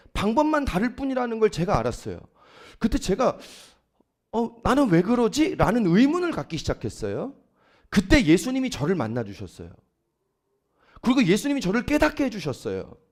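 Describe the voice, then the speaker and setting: In a very clean recording with a silent background, a man with a high voice talks fairly quickly, swinging his pitch very widely and leaving long, frequent pauses. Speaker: pastor. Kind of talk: sermon. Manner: fast.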